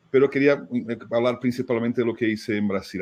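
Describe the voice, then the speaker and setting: With a Brazilian accent, a man speaks at a fairly quick pace and fairly even intonation. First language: Portuguese (speaking Spanish). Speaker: fundraising consultant, writer. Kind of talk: webinar conversation. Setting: online webinar.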